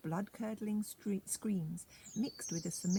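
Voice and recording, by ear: The pitch moves in an ordinary way. It is reading aloud in a natural voice.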